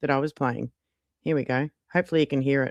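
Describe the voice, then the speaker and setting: Someone talks with an Australian accent against a quiet background. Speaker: YouTube livestreamer and AI music creator. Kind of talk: casual livestream chat.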